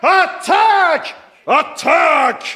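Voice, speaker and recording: In a put-on character voice, a man is shouting. His voice goes extremely high. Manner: shouting, theatrical.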